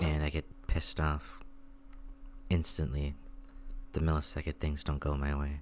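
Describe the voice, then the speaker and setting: At a moderate pace and with long, frequent pauses, the voice stays quiet and calm. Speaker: gaming streamer. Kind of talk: casual gameplay commentary.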